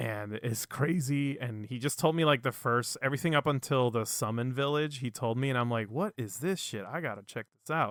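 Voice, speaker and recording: Recorded very cleanly against a silent background, a man talks at a fairly quick pace with hardly any pauses, his medium-pitched voice showing ordinary pitch variation. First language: not English. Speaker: podcast co-host. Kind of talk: casual chat. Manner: animated.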